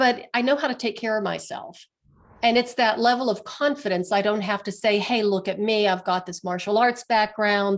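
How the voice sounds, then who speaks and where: A woman with a plain, everyday voice speaks at a fairly high pitch with ordinary pitch variation on a very clean recording with a silent background. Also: moderate pace. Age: 60s. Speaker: healer, author and martial artist. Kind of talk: interview.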